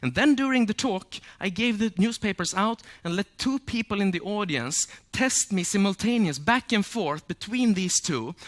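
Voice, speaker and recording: On a very clean recording with a silent background and a dry, close sound with no echo, a man speaks at a high pitch and a moderate pace with lively intonation. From Sweden. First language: Swedish. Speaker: memory champion and speaker. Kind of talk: public talk.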